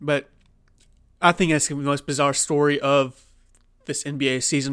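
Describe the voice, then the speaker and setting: At a fairly quick pace, a man with an American accent speaks at a fairly high pitch. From Oklahoma. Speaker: sports podcast host. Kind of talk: casual solo sports commentary. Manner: conversational with many fillers.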